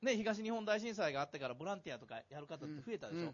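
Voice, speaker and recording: A man with a high pitch talks at a very fast pace, his voice moving through very wide pitch swings. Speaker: psychiatrist and author. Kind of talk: public talk event interview. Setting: stage with audience. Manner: casual.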